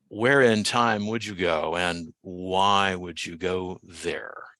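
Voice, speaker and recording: A man speaks very slowly with a bright, sharp tone and ordinary pitch variation, in a dry, close sound with no echo against a quiet background. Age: 60s. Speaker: podcast host. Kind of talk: podcast interview.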